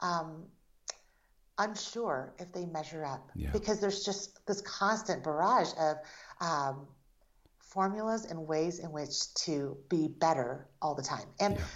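The speech moves at a fairly slow pace with ordinary pitch variation. Audible room echo fills the recording. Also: woman, fairly low pitch for a woman. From Taiwan, raised in the United States from age four. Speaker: author and artist. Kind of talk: interview.

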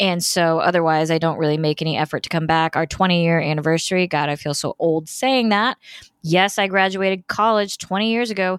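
A woman with an American accent and a normal speaking voice speaks at a fairly quick pace and fairly low pitch, with ordinary pitch variation and very even loudness, on a very clean recording with a silent background and a dry, close sound with no echo. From Indiana, US Midwest. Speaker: political podcast host. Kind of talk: solo podcast monologue. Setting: hotel room.

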